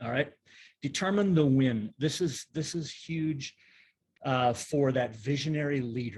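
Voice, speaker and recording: Somewhat breathy, a man speaks at a fairly slow pace. His pitch is fairly high, with ordinary variation. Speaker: pastor and leadership strategist. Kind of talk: online workshop presentation. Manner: conversational, with many fillers.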